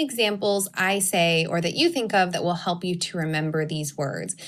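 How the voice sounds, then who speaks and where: On a very clean recording with a silent background, a woman at medium pitch speaks at a moderate pace in an unremarkable speaking voice. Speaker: teacher. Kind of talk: recorded lesson.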